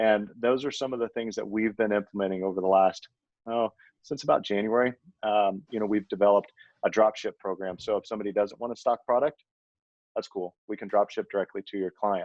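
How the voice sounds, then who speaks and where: Fairly quick and fairly even in intonation, a man talks in an unremarkable speaking voice with a fairly low pitch. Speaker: supplement company owner. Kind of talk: podcast interview.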